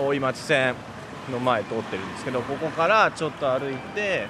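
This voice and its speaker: A man speaks at a moderate pace with a fairly high pitch. Noticeable background noise runs under his voice. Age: 30s. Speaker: travel reporter. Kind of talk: walking travel report. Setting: outdoors on location. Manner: animated.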